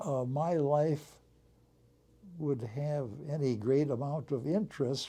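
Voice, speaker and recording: This man has an American accent and a dark, mellow tone that comes out somewhat breathy. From US Midwest, Racine, Wisconsin. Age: 90s. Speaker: war veteran and retired airline pilot. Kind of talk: interview. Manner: hesitant, with many fillers.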